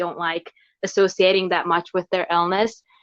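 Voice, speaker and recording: A woman with an American accent. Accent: American-sounding English. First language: Hungarian. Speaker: guest sharing mental health experience. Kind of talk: interview testimony.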